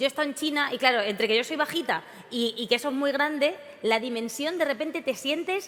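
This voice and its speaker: A woman's animated, high voice at a very fast pace, with ordinary pitch variation and noticeable background noise. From Spain. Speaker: event presenter. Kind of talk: comic stage introduction.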